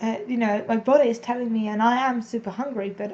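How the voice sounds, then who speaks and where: Somewhat breathy and dark, mellow in tone, a woman talks at a fairly quick pace with fairly even intonation. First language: not English. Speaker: vlogger and English as a second language teacher. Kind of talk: personal confessional vlog. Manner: casual, meandering.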